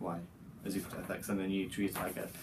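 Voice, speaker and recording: A man speaks with a dark, mellow tone and monotone, flat intonation. Audible room echo surrounds his voice. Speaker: vlogger, university student. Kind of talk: casual vlog talk.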